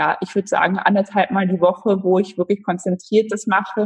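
The woman's voice is somewhat breathy and her intonation is monotone and flat. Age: 20s. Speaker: amateur road cyclist. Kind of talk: interview.

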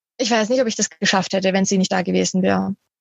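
A woman's somewhat breathy voice. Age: 20s. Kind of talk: interview.

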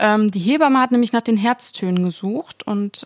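A woman talks at a fairly slow pace at a medium pitch, with ordinary pitch variation and an ordinary speaking voice. The sound is dry and close, with no echo. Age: 20s. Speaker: podcast co-host, bereaved mother. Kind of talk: casual chat.

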